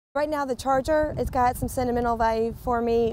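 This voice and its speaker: A woman with a Southern US accent at a fairly quick pace, on a very clean recording with a silent background. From Winston-Salem, North Carolina. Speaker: race car driver. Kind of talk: promotional interview.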